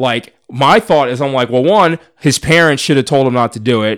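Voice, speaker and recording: A man with a medium-pitched, unremarkable speaking voice talks at a moderate pace with lively intonation on a very clean recording with a silent background. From US Northeast, suburban Philadelphia. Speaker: podcast guest. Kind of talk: casual chat.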